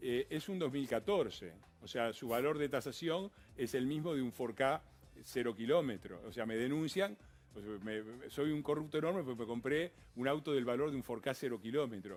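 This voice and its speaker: A man speaks with an Argentine accent at a medium pitch. His intonation is lively and his pace moderate. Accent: Argentine Spanish (Rioplatense). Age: 60s. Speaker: politician. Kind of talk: TV interview. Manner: animated.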